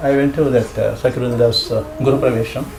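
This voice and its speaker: A man with an Indian accent at a moderate pace, with audible room echo and noticeable background noise. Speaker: scripture class teacher. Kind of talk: casual chat.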